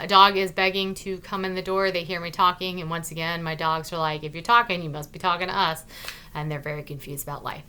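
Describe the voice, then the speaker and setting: Noticeable background noise sits behind a woman's voice. She speaks at a fairly quick pace with a fairly low pitch. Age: 40s. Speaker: vlogger. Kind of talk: casual vlog monologue. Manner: excited.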